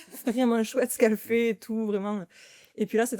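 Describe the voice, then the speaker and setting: A woman's dark, mellow voice sits at a fairly high pitch, with a dry, close sound free of echo and a very clean recording over a silent background. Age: 30s. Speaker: sales employee, charity sports challenger. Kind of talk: interview conversation. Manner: casual, hesitant with fillers.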